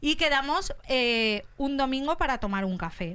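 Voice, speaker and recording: This is a woman's voice. Its tone is bright and sharp. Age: 30s. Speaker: comedian. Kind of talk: comic monologue.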